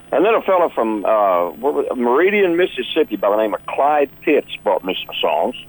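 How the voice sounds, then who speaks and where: A man with a Texan accent talks at a moderate pace, with hardly any pauses. Noticeable background noise runs under his voice. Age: 60s. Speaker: country singer. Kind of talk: interview. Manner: halting.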